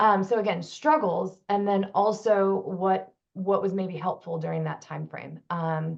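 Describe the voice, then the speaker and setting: The speaker uses a plain, everyday voice, moving fairly slowly and showing ordinary pitch variation. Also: woman. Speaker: panel moderator and clinician. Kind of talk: panel moderation.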